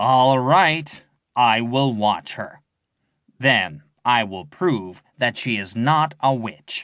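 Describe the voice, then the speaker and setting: A man uses a put-on character voice with lively intonation at a medium pitch. He goes at a very slow pace in a very clean recording with a silent background. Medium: read story.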